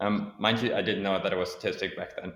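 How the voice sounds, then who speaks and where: Speaking at a very fast pace, the man has a fairly low pitch. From Germany. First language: German. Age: 30s. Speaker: sales professional. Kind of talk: interview.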